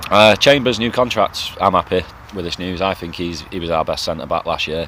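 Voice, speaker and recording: An English accent over noticeable background noise. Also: man. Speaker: football fan vlogger. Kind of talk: casual monologue vlog. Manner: quick.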